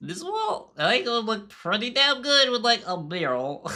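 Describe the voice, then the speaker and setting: Someone uses a put-on character voice at a fairly high pitch and a moderate pace. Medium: virtual streamer. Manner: giggly, casual.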